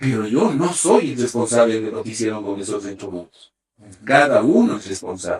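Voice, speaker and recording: An animated man speaks at a moderate pace. His pitch sits in the medium range. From Ecuador. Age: 60s. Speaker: sports medicine doctor. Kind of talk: interview. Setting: sports medicine center at a velodrome.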